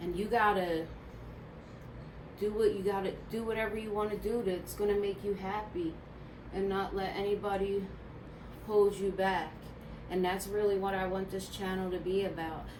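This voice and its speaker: A woman with a Philadelphia accent speaks in a monotone, flat intonation with long, frequent pauses, amid audible room echo and noticeable background noise. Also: medium pitch for a woman, moderate pace. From Philadelphia, US. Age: 30s. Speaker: beauty vlogger. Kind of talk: casual chat.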